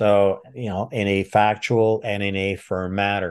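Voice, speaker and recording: The speaker has a French Canadian accent. The background is quiet. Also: man. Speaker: retired military intelligence officer, trainer. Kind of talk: interview.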